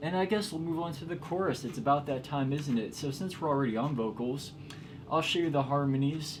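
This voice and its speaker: A man's voice is fairly high-pitched and somewhat breathy. Noticeable background noise runs behind it. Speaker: musician explaining own song production. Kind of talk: casual tutorial. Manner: casual, filler-heavy speech. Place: studio. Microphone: camera far.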